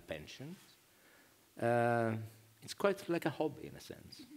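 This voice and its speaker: With a Greek accent, the speaker moves at a moderate pace, stopping often for long pauses, with big swings in loudness and very wide pitch swings. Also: man. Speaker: novelist. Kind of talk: panel discussion. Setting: stage with audience. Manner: halting.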